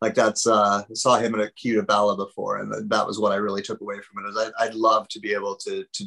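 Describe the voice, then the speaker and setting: A man talks at a fairly quick pace with hardly any pauses. The sound is dry and close, with no echo. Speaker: podcast host. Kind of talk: casual chat.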